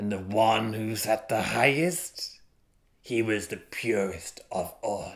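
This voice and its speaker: Using a put-on character voice of medium pitch, a man speaks in a solemn tone at a fairly slow pace. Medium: read story. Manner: solemn, grudging storyteller.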